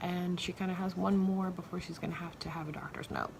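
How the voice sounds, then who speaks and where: Soft-spoken yet animated, a woman talks at a fairly quick pace with fairly low pitch over noticeable background noise. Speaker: podcast host, mom. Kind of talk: casual monologue. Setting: home bedroom. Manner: quiet, soft-spoken; animated, chatty.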